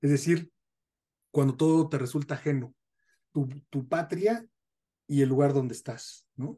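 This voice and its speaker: This man's voice is fairly high-pitched, dark and mellow, and somewhat breathy, with ordinary pitch variation and long, frequent pauses. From northern Mexico. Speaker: podcast host, sociologist. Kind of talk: casual chat.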